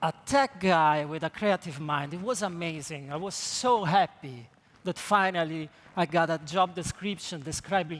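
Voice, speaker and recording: A man with an Italian accent speaks at a moderate pace in a high pitch. His pitch variation is ordinary. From Italy. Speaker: creative technologist. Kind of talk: conference talk.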